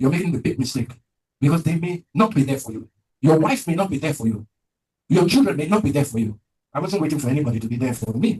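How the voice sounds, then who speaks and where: A man speaks at a very fast pace with a fairly high pitch. His delivery is somewhat breathy, with lively intonation. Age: 70s. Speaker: prostate cancer survivor. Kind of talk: testimony.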